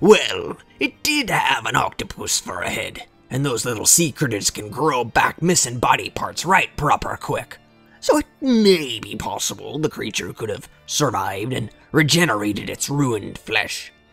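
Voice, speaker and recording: Using a put-on character voice, a man speaks at a fairly high pitch with faint music in the background. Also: moderate pace. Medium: read story. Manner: gruff, boastful yarn-spinning.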